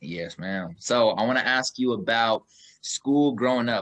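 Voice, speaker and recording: Recorded dry and close with no echo, a man speaks at medium pitch with ordinary pitch variation and a slight Kansas City accent. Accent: slight Kansas City country twang. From Kansas City, Missouri. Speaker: podcast host. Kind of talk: casual interview. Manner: animated.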